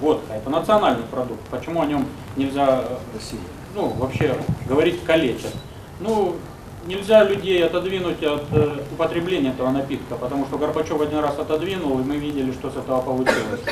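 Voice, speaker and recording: Through noticeable background noise, a man with a fairly high pitch speaks fairly quickly, leaving long, frequent pauses. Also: ordinary pitch variation. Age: 20s. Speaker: politician. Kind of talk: press conference. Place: meeting room. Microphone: podium.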